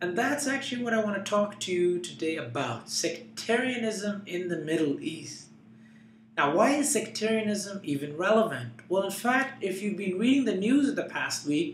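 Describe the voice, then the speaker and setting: In a room with audible echo and noticeable background noise, a man speaks at a moderate pace in a high pitch with very wide pitch swings. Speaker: political commentator, blogger. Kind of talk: explanatory commentary to camera.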